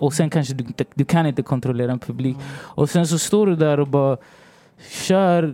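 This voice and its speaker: In an unremarkable speaking voice, a man talks at a fairly quick pace and fairly high pitch with fairly even intonation. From Sweden, Rinkeby (Stockholm), Chilean family. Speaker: songwriter and rapper. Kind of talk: casual interview chat. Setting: hotel, recording studio-like podcast setup.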